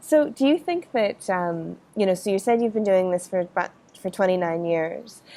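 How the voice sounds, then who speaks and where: In an American accent, a woman with a dark, mellow tone speaks at a moderate pace and with lively intonation. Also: medium pitch for a woman. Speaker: podcast host. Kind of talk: interview.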